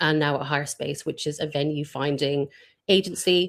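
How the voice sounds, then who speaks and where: A woman's very deep, low voice moves at a moderate speed with fairly level intonation. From Ireland. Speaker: events industry professional. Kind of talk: casual live-stream interview. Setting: live video stream.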